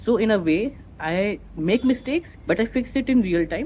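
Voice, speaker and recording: Speaking with a non-native accent, a man uses lively intonation. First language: not English. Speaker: vlogger. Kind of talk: unscripted monologue. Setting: recording to camera. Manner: halting, self-correcting; slow, deliberate.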